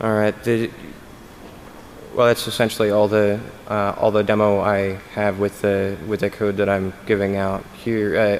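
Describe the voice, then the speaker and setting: Noticeable noise sits in the background. The speech moves at a moderate pace with flat, monotone intonation. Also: man. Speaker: conference speaker on security. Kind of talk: conference talk Q&A. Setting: stage with audience. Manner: halting, many fillers and restarts.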